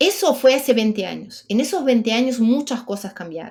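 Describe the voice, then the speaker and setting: Someone with a Brazilian accent talks at a moderate pace with lively intonation. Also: woman. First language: Portuguese (speaking Spanish). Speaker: menopause expert guest. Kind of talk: podcast interview.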